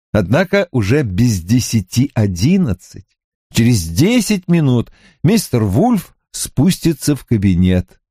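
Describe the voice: A man puts on a character voice with a dark, mellow tone, a slightly husky edge and big pitch swings at a fairly slow pace. The recording is very clean and dry, close with no echo and a silent background. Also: medium pitch for a man.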